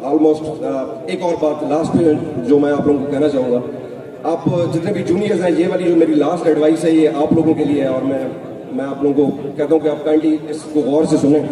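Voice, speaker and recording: A man with fairly even intonation talks at a moderate speed, accompanied by audible room echo and noticeable background noise. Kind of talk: speech. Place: hall. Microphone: podium.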